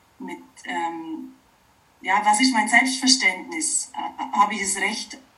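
Amid noticeable background noise, a woman with a high voice speaks very slowly with long, frequent pauses, lively intonation and big swings in loudness. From Oberallgäu, Bavaria (southern Germany). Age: 40s. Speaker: wood sculptor and permaculture teacher. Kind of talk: interview. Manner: halting, many fillers.

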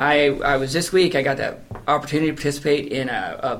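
This man's fairly high-pitched voice is heard with audible room echo. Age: 40s. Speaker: missionary director. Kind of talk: testimony. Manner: halting.

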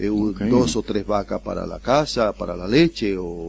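A man's dark, mellow tone at a fairly slow pace. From Dominican Republic, El Seibo province. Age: 60s. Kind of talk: interview. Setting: studio.

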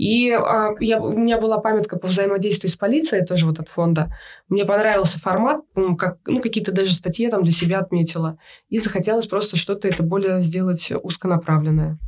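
She has a medium pitch. Her pitch varies in an ordinary way. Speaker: photographer. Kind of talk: interview. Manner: halting.

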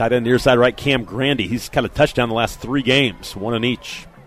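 An animated, medium-pitched man at a fairly quick pace, over noticeable background noise. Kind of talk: live play-by-play football commentary. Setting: stadium broadcast booth. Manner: fast, rhythmic, animated play-by-play delivery, calling each snap as it unfolds; emphatic and opinionated, quick to judge plays.

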